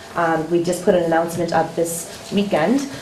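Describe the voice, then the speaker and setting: Fairly low in pitch, a woman speaks with ordinary pitch variation. Background noise is noticeable and room echo audible. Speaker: school special education director. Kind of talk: budget presentation at public meeting. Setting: public meeting with audience. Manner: fast; hesitant, many fillers.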